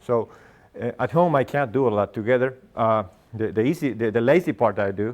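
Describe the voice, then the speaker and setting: At a moderate pace, a man with a Spanish accent talks with lively intonation. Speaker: agronomist and grazing instructor; grazing instructor. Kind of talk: lecture. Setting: classroom with live audience. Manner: halting, many fillers. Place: meeting room. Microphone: lapel.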